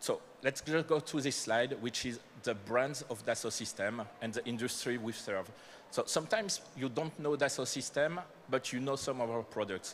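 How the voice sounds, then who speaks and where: In a French accent, a man speaks at a medium pitch. He holds a moderate pace with ordinary pitch variation. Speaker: company manager presenting to startups. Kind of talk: conference presentation.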